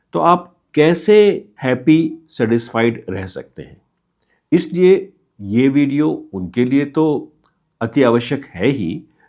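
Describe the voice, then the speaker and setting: A man's medium-pitched voice comes through a very clean recording with a silent background. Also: big swings in loudness. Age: 60s. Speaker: retiree giving life advice. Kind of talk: motivational talk. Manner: explanatory.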